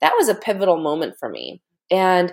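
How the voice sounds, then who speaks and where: A woman with an American accent speaks at a fairly slow pace with ordinary pitch variation. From United States, Korean American family. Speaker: mindset and motivation coach, taekwondo master. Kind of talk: interview conversation.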